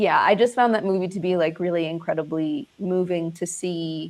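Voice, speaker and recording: A woman with a Zimbabwean accent and a fairly low pitch, ordinary pitch variation, quiet background. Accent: Americanized Zimbabwean. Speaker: actress and filmmaker. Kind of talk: interview. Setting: livestream. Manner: loud.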